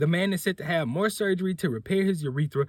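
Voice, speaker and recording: Lively intonation marks this man's somewhat breathy voice at a fairly quick pace. The recording is very clean with a silent background. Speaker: podcast host. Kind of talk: reading aloud a news article with commentary.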